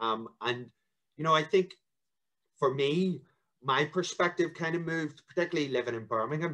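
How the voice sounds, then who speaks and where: A man with a Northern Irish accent, against a quiet background. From Northern Ireland. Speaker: local politician. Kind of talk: interview. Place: home room. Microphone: video call.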